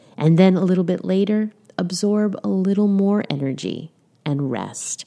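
A woman talks at a fairly slow pace in a gentle, calm tone that is also dark and mellow, with lively intonation against a quiet background. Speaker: wellness podcast host. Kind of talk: solo podcast talk.

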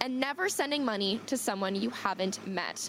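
Noticeable background noise sits under a woman's voice. She talks at a fairly quick pace with ordinary pitch variation. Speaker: field news reporter. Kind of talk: news reporting. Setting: on location, live remote.

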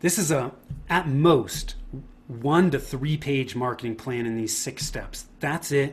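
Speaking at a very slow pace, a man with an American accent has a fairly high pitch. His voice is somewhat breathy. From Northern California, Bay Area. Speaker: marketing consultant. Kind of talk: interview.

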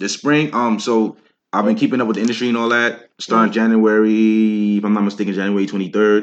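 Talking very fast, a man with a New York accent uses a fairly low pitch. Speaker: rapper. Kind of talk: casual interview chat.

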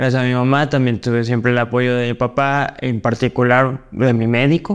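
Against a quiet background, a man with a medium pitch and a plain, everyday voice talks at a moderate pace with fairly even intonation. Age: 30s. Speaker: wheelchair basketball player and coach. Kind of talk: interview.

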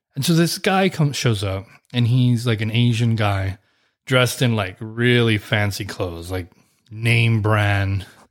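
A man with an American accent and an unremarkable speaking voice, medium in pitch with ordinary pitch variation, at a fairly slow pace in a very clean recording over a silent background. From deep South Texas. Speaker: podcast host. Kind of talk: casual chat.

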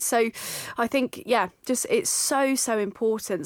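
Her southern English accent carries at a fairly high pitch with ordinary pitch variation. The woman's sound is dry and close, with no echo. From Surrey, England. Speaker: osteopath and podcast host. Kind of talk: casual chat. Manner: animated.

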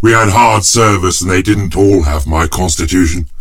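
A man's voice over noticeable background noise. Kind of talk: character acting in a dramatized audiobook. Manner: gruff, cranky old-man voice, chuckling, theatrical.

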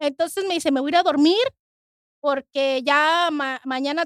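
A woman with a Mexican accent speaks at a moderate pace in a high voice. The sound is dry and close with no echo. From Mexico. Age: 40s. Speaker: kidney transplant recipient. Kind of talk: testimony.

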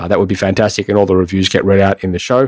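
A man talks with an Australian accent. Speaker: podcast host. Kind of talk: interview conversation.

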